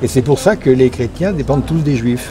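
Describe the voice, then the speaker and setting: Noticeable background noise behind a man talking at a fairly slow pace. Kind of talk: street interview answer.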